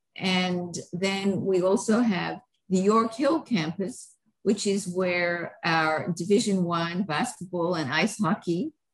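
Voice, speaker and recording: At a very slow pace, a woman speaks in a somewhat breathy voice with ordinary pitch variation over a quiet background. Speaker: guest. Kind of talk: interview answer. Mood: warm, proud. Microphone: video call.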